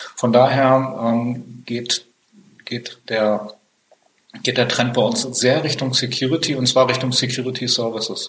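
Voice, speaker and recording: This man speaks at a fairly slow pace. His intonation is monotone and flat. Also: medium pitch for a man. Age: 50s. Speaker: IT company founder and managing director. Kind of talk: interview. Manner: frequent hesitations.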